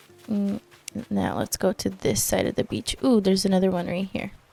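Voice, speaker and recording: With a non-native accent, a woman speaks at medium pitch in an animated tone, the sound dry and close with no echo. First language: not English. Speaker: gaming video creator. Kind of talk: casual gameplay commentary.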